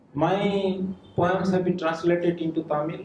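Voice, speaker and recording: A man's high-pitched voice at a fairly slow pace, with fairly even intonation. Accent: Odisha. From India, Odisha. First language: Odia. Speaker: writer. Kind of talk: speech at a book launch. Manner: halting.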